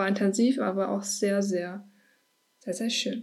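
A woman speaks with a medium pitch. Her intonation is flat and monotone. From Ruhr area, Germany (Herne). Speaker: podcast host. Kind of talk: personal monologue. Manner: casual, with frequent fillers.

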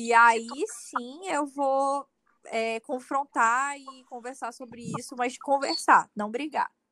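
A woman speaks very slowly in a raised, projected voice, high-pitched with a bright, sharp tone, ordinary pitch variation and big swings in loudness, in a dry, close recording with no echo. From Manaus, Amazonas, Brazil. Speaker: content creator. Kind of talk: casual interview.

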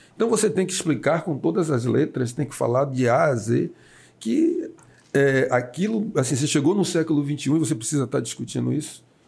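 A man with a fairly high pitch talks at a fairly quick pace, his somewhat breathy voice carrying lively intonation at very even loudness. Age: 60s. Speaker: city councillor. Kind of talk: casual interview. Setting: studio, broadcast live on radio and video.

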